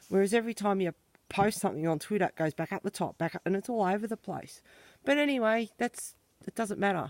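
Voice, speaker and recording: Someone with an Australian accent talks at a very fast pace on a very clean recording with a silent background. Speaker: colouring channel owner, farm owner. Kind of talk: casual walking vlog tour.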